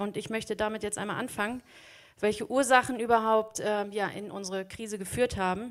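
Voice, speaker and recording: Delivered in a flat, monotone intonation, the words come at a fairly quick pace. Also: woman, fairly high pitch for a woman. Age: 30s. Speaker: teacher and lay preacher. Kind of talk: sermon.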